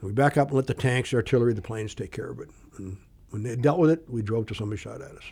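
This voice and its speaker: Talking at a very fast pace, a man with a medium pitch has a somewhat breathy voice and a dark, mellow tone. His loudness swings a lot, and the recording is very clean with a silent background. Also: ordinary pitch variation. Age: 60s. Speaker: retired Air Force pilot. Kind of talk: casual interview, storytelling.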